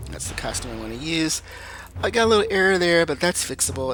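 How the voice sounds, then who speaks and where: Very wide pitch swings mark this man's speech at a fairly quick pace. Noticeable background noise runs underneath. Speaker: gaming YouTuber. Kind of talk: gameplay commentary. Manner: fast.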